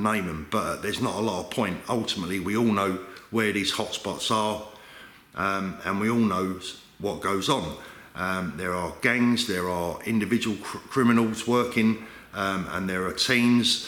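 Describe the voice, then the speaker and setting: Through noticeable background noise and audible room echo, a man with a London accent speaks at a moderate pace, fairly low in pitch, with fairly even intonation. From London, England. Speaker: watch dealer and video host. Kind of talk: vlog commentary.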